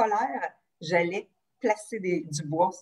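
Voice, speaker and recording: Against a quiet background, a woman talks with lively intonation. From Quebec. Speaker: psychologist; guest. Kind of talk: casual interview. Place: home room. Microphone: video call.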